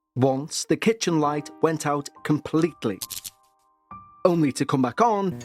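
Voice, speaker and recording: A man's very slow speech with very wide pitch swings, dry and close with no echo, over music in the background. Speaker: podcast host, narrator. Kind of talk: paranormal story narration.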